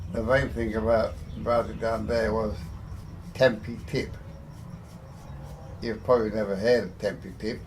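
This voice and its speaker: A man with an English accent speaks at a fairly slow pace and a medium pitch, his somewhat breathy voice holding a fairly even intonation broken by long, frequent pauses. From England. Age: 80s+. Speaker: heavy machinery construction worker. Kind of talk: interview answer.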